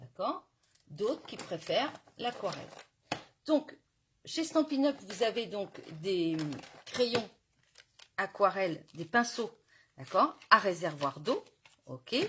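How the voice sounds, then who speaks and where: This woman's fairly high voice has a bright, sharp tone, very wide pitch swings and big swings in loudness, moving at a very slow pace with long, frequent pauses. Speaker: crafting demonstrator. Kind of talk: live craft tutorial. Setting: Facebook live stream.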